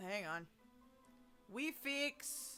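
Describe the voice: A high-pitched, put-on character voice over clear background noise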